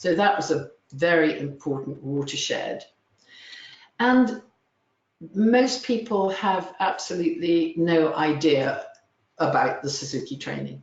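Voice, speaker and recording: A woman with a fairly low, somewhat breathy voice speaks at a fairly slow pace with lively intonation and long, frequent pauses. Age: 70s. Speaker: music teacher. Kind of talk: webinar presentation. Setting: webinar.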